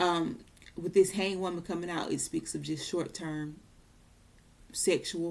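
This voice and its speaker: A woman speaks with a fairly low pitch, vocal fry and ordinary pitch variation. She leaves long, frequent pauses. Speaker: tarot reader. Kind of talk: tarot reading monologue.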